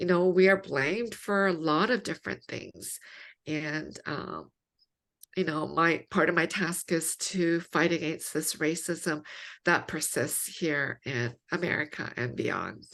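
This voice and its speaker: A woman speaks in a plain, everyday voice, fairly low in pitch, with ordinary pitch variation and a fairly slow pace. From Canada. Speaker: theologian. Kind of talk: interview.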